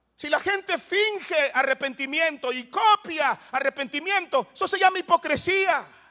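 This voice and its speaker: Over a quiet background, a man with an extremely high, bright, sharp voice projects animatedly at a fairly slow pace, with big swings in loudness and hardly any pauses. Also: ordinary pitch variation, dry, close sound with no echo. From El Salvador, Soyapango. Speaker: pastor. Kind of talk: sermon.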